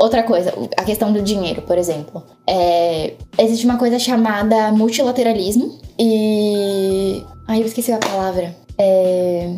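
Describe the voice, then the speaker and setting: A woman talks at medium pitch, her pitch moving in an ordinary way, while noticeable noise fills the background. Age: 20s. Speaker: international relations student. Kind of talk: casual chat.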